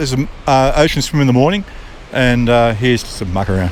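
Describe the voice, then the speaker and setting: A man with an Australian accent at a moderate pace, amid noticeable background noise. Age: 70s. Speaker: retired barrister. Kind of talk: interview answer. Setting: outdoors. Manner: laid-back, good-humoured.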